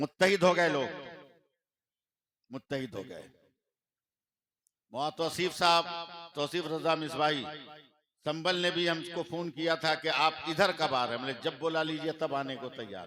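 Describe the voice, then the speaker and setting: In a very clean recording with a silent background, a man with a fairly high pitch and a bright, sharp tone speaks with ordinary pitch variation, big swings in loudness, and long, frequent pauses. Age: 60s. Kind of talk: religious speech. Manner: direct.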